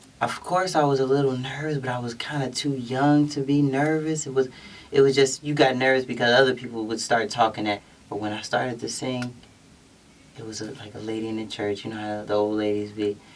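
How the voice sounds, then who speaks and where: This man speaks with an American accent at a fairly quick pace, his medium pitch showing ordinary pitch variation. His loudness swings widely, and there is noticeable background noise. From Philadelphia, US. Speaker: singer-songwriter. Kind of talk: interview. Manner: halting.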